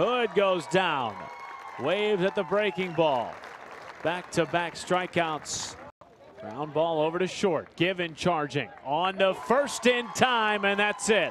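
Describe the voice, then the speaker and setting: Crowd noise in the background behind a man, high in pitch, at a very slow pace. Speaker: play-by-play announcer. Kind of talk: live baseball play-by-play commentary. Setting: ballpark broadcast highlight package.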